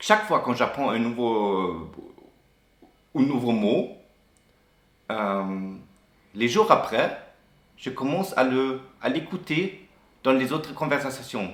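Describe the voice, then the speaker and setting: Speaking very slowly with a strong German accent, a man makes very wide pitch swings and takes long, frequent pauses, with audible room echo around him. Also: medium pitch for a man. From Germany. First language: German (speaking French). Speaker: expat interviewee. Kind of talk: interview. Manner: halting, many hesitations and restarts.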